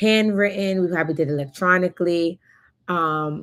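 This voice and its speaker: A woman with an American accent talks in a normal speaking voice, fairly low in pitch, with fairly even intonation. The recording is very clean, with a silent background. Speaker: notary public and online educator. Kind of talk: live-stream presentation. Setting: live stream.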